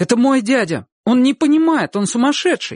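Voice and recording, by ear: A man's put-on character voice at an extremely high pitch, with big pitch swings, in a very clean recording with a silent background and a dry, close sound with no echo. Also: moderate pace.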